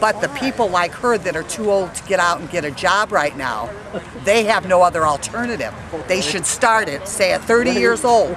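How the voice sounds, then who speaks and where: A woman's lively intonation and fairly quick pace come through noticeable background noise. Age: 60s. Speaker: rally attendee. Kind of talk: street interview. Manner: animated.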